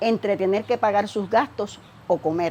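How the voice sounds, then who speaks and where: Speaking at a fairly slow pace, a woman has a medium pitch, ordinary pitch variation and a dark, mellow tone. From Puerto Rico, Aguas Buenas. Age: 60s. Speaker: audience questioner, grandmother. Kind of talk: prepared question read aloud.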